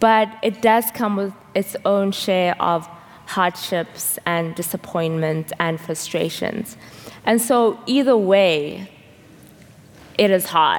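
Against noticeable background noise, a woman talks very slowly at a medium pitch with ordinary pitch variation. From South Africa. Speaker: seminary intern preaching. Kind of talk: sermon. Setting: church service with congregation.

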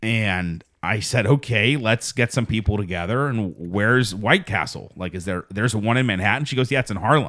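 Loud and bright, sharp in tone, a man speaks at a moderate pace and fairly low pitch with ordinary pitch variation and hardly any pauses, on a very clean recording with a silent background. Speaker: podcast host. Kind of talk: casual chat. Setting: studio. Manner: loud, boisterous.

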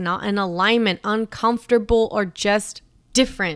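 On a very clean recording with a silent background, a woman speaks at a moderate pace with a fairly high pitch and an animated, bright, sharp tone. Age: 30s. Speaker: podcast host and mindset coach. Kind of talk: solo podcast monologue.

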